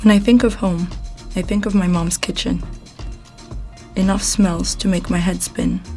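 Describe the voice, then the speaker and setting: Long, frequent pauses break up speech delivered at a moderate pace. Music plays in the background. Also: woman. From Morocco. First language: multilingual: English, French, Arabic, Amazigh. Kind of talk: spoken word poetry.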